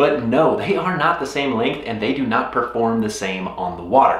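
A man speaks at a moderate pace. Audible room echo is present. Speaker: fishing vlogger. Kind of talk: casual vlog chat. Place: home room.

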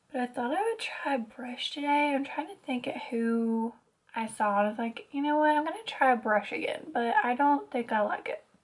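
Her pitch is high, and it moves in very wide swings. The woman has an American accent. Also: moderate pace. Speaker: beauty vlogger. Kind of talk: casual vlog, get ready with me. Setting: home, filming on camera. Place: home room. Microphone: phone near.

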